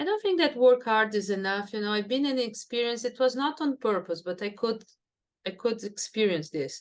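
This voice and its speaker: A woman speaks with a Brazilian Portuguese accent at a moderate pace. Her pitch is fairly high, with lively intonation. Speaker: neuroscience professor. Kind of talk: interview.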